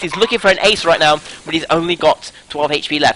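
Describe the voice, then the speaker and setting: Noticeable background noise runs under this man's speech. He talks at a fairly quick pace with a British accent. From Britain. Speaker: esports caster. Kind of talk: live commentary. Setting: live stream. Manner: fast.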